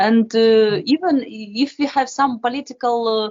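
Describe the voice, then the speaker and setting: The speaker talks at a very slow pace with a Ukrainian accent. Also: woman. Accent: Ukrainian Russian-speaking accent in English. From Ukraine, Kharkiv. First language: Russian. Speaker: classical violinist. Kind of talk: interview. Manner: halting, many hesitations.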